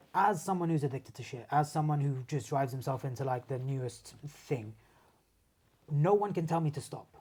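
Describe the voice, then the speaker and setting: At a fairly quick pace, a man with a dark, mellow tone, a somewhat breathy quality and a fairly high pitch speaks with ordinary pitch variation in a very clean recording with a silent background. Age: 30s. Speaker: martial artist and sports massage therapist. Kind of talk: casual chat. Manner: animated.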